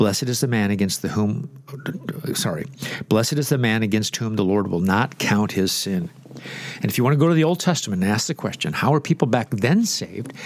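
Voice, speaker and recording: Through noticeable background noise, the speaker's intonation sounds lively. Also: man, medium pitch for a man. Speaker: pastor and radio host. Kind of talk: radio Bible teaching. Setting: studio.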